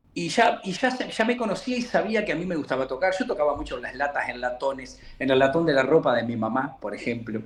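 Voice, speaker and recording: A man with a fairly high pitch talks at a fairly quick pace, his pitch swinging very widely. He leaves hardly any pauses, over noticeable background noise. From Uruguay, Montevideo. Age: 60s. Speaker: murga percussionist. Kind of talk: interview. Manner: halting.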